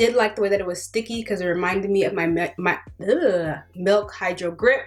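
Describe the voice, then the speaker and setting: With noticeable background noise behind her, a woman talks at a fairly quick pace in a medium pitch. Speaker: beauty vlogger. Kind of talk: product review. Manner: casual, filler-heavy; fast.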